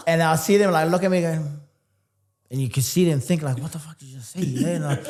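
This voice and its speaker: Talking at a very fast pace, a man with a fairly high pitch shows big swings in loudness. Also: ordinary pitch variation. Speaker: entrepreneur and fitness coach. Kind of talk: casual interview chat. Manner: animated.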